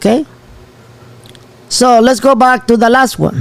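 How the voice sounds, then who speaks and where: A man speaks with a Spanish accent in an animated tone. His pitch is extremely high. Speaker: channel host. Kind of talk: live show commentary.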